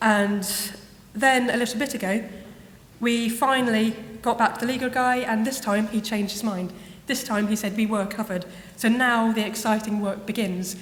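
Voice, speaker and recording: A woman with an English accent and a fairly high pitch speaks with fairly even intonation and long, frequent pauses, with audible room echo around her. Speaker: university web content producer. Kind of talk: conference lightning talk. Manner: fast; soft-spoken.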